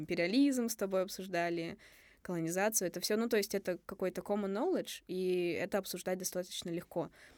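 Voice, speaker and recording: Over a silent background in a very clean recording, a woman uses an ordinary speaking voice at medium pitch and a fairly quick pace. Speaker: podcast co-host, university student. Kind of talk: casual chat.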